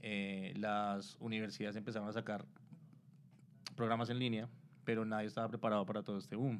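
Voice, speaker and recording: A man's fairly low voice with a Colombian accent, fairly even intonation, and long, frequent pauses. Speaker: digital marketing specialist. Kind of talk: interview, explaining. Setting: live stream on Instagram.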